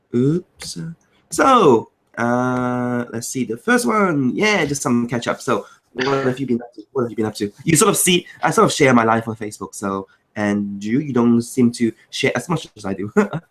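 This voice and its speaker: Medium-pitched male speech in a Cantonese accent, ordinary pitch variation, moderate pace. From Macau, China. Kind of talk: casual chat.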